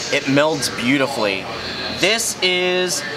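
A man's voice over clear background music. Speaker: beer reviewer. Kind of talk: casual vlog review. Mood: enthusiastic. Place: factory.

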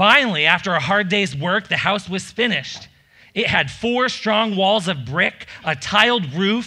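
An unforced reading voice is heard. Its intonation is lively.

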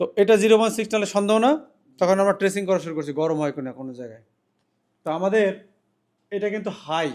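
The delivery has lively intonation and big swings in loudness. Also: man, high pitch for a man. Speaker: mobile repair technician and trainer. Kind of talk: tutorial. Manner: soft-spoken.

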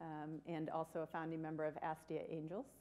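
Her tone is dark and mellow. The woman moves along at a fairly quick pace. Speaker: healthcare executive. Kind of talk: panel discussion. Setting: stage with audience. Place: stage. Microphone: podium.

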